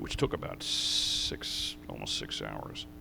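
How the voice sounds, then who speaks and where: With audible room echo, a man in an American accent speaks with vocal fry and a bright, sharp tone. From New York, US. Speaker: racing driver and team owner. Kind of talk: interview on stage. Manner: halting.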